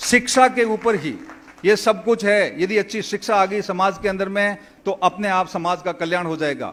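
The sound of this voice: A man's high voice with a fairly bright tone, ordinary pitch variation and a moderate pace.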